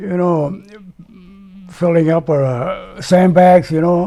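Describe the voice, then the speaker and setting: Over noticeable background noise, someone with an American accent speaks at a very slow pace. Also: man. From United States. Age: 90s. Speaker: war veteran. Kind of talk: interview answer.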